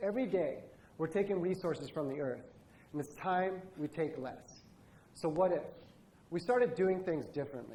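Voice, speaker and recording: With an American accent, a man speaks at a moderate pace with lively intonation. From Indonesia. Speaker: product designer. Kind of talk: conference talk.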